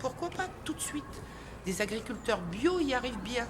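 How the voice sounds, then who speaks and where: Very wide pitch swings mark a woman's fairly high voice as she speaks at a moderate pace. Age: 60s. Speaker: protester. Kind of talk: street interview. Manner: animated.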